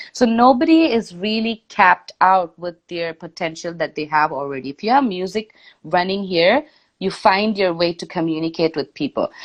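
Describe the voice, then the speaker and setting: A woman with an Indian accent and medium pitch at a moderate pace, with big swings in loudness. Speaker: singer-songwriter and DJ. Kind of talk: interview on a live stream. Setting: Instagram live video call. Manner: animated.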